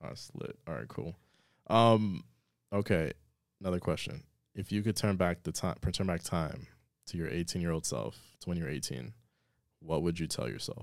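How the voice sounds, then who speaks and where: This man's very deep, low voice has vocal fry and long, frequent pauses, captured on a very clean recording with a silent background. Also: lively intonation, moderate pace. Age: 30s. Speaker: podcast host. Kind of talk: casual chat. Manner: animated.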